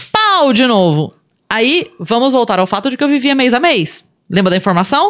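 Her loudness very even, a woman speaks in a high pitch at a moderate pace with very wide pitch swings. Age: 40s. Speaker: comedian. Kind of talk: casual chat. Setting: studio.

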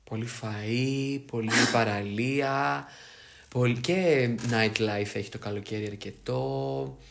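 A man speaks at a very slow pace with very wide pitch swings. The room echo is audible. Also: medium pitch for a man. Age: 20s. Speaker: podcast co-host. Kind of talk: casual chat.

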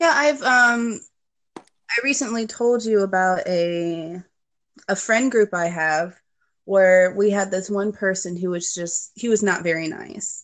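A woman has a plain, everyday voice at a medium pitch, with ordinary pitch variation. She speaks at a fairly slow pace against a quiet background. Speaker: program client guest. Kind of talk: casual interview.

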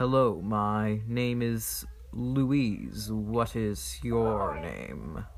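A man's put-on character voice, fairly low-pitched and very slow, over clear background noise. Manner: polite, greeting.

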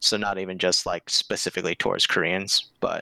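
This is a man's voice with a bright, sharp tone. The sound is dry and close, with no echo. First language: Korean. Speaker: Discord server admin. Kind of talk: casual chat.

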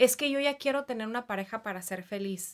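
A very clean recording with a silent background, featuring a woman's moderate pace. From Mexicali, Baja California, Mexico. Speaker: clinical psychologist. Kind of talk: interview. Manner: hesitant fillers.

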